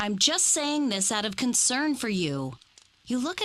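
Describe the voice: Someone does plain reading aloud. Nothing more is added to it.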